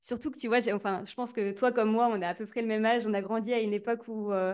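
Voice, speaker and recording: Against a quiet background, a woman talks at a fairly quick pace in a fairly high voice with fairly even intonation. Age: 20s. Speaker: content strategy consultant. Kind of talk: interview. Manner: hesitant, repeats words.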